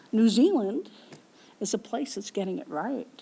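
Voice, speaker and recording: A woman with a western Canadian accent speaks in very wide pitch swings. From Canadian prairies. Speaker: professor. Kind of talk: lecture Q&A answer.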